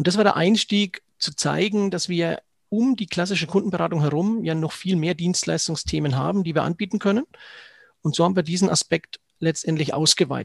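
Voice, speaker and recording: A man talks at a fairly quick pace with a high pitch. The sound is dry and close, with no echo. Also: ordinary pitch variation. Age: 40s. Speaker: financial advisor. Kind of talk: interview.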